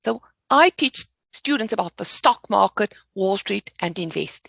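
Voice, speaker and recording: This is a woman with a South African accent. The sound is dry and close, with no echo. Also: fairly slow pace. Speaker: finance educator. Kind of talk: podcast interview.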